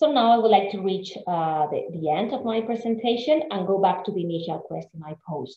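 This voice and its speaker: A woman speaks at a fairly quick pace with a medium pitch, hardly any pauses, big swings in loudness, and audible room echo. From Spain. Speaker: literature scholar; guest lecturer. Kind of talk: lecture. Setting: video call.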